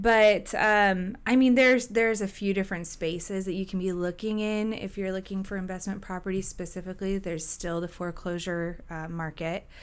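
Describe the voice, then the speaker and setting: With hardly any pauses, an unremarkable speaking voice in an American accent moves at a fairly quick pace with fairly even intonation. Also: woman, medium pitch for a woman. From Washington State, Gig Harbor. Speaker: real estate broker and short-term rental host. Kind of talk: casual interview.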